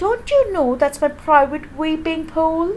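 A woman puts on a character voice at an extremely high pitch. She speaks at a fairly slow pace over clear background noise. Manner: angry.

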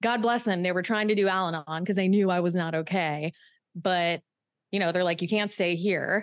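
A woman speaks in a normal speaking voice at a medium pitch and moderate pace. Her loudness stays very even, and her intonation is fairly even too. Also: very clean recording, silent background. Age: 30s. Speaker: human trafficking survivor and author. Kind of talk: interview.

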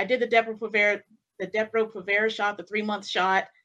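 This bright, sharp tone comes with an American accent. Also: woman. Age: 30s. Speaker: criminal justice worker. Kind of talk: panel discussion. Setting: video call.

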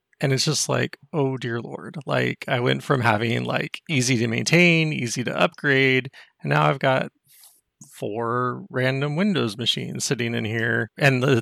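The voice has a bright, sharp tone, vocal fry, and lively intonation in an American accent. The sound is dry and close, with no echo. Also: man, medium pitch for a man, fairly slow pace. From Texas. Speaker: caller, IT worker. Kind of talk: call-in question.

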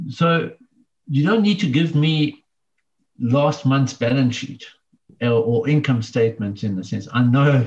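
A man speaks at a medium pitch and fairly slow pace, with lively intonation. His voice is somewhat breathy, with long, frequent pauses. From South Africa, KwaZulu-Natal. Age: 50s. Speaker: business owner. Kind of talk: interview.

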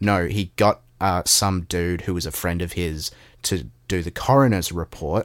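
A man with an Australian accent speaks at a fairly slow pace in a very deep, low pitch with ordinary pitch variation. The recording is very clean and silent behind him, with a dry, close sound and no echo. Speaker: podcast co-host. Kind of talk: casual political discussion.

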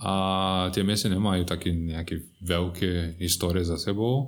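Man's very deep, low voice with a Brazilian accent. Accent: Brazilian Portuguese accent in Slovak. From Brazil, São Paulo state. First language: Portuguese (speaking Slovak). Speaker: hotel general manager. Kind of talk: casual interview.

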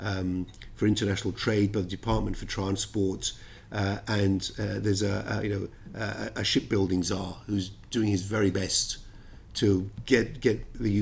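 A man speaks in a flat monotone at a moderate pace. His fairly low voice carries vocal fry. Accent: London. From London. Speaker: ship finance lawyer. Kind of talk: interview.

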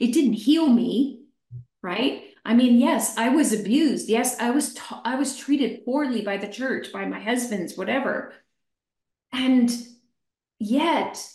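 Speaking very slowly with an American accent, a woman uses a fairly high pitch and ordinary pitch variation amid audible room echo. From Pennsylvania, US. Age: 60s. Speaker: life coach and educator. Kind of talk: testimony.

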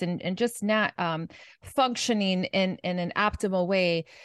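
A woman with a plain, everyday voice speaks at a fairly slow pace and medium pitch with ordinary pitch variation, the sound dry and close with no echo against a quiet background. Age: 50s. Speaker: nutrition and mindset coach. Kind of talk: podcast interview.

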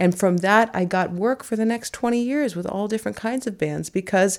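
The tone is dark and mellow, with an American accent and a fairly quick pace. The recording is very clean, with a silent background. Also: woman. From US West Coast, San Francisco. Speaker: fiddler. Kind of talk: interview. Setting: living room of a private home.

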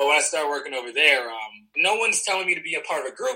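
Here a man is speaking. His pace is very fast. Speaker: pro wrestler. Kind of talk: interview. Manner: animated.

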